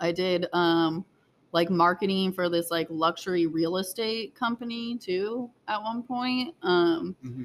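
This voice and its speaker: Speaking at a fairly slow pace, a woman with an unremarkable speaking voice uses lively intonation. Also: medium pitch for a woman. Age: 30s. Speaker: barista aspiring to open a coffee shop. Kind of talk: casual interview. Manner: casual, frequent fillers like 'like' and 'um'.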